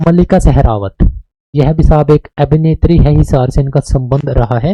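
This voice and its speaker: A man's fairly high voice has a dark, mellow tone, is somewhat breathy and shows ordinary pitch variation, with a dry, close sound and no echo. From Haryana, Kaithal. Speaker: teacher. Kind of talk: lecture. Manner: casual, conversational.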